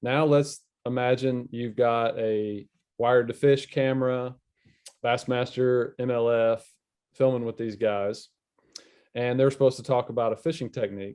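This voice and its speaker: In a Southern US accent, the speaker talks at a moderate pace with a monotone, flat intonation and long, frequent pauses. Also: man, medium pitch for a man. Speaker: fishing media specialist. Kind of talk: casual chat.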